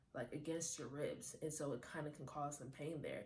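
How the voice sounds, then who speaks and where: Breathy and at a moderate pace, a woman speaks in a room with audible echo. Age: 20s. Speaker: lifestyle vlogger. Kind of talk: casual chat. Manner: animated.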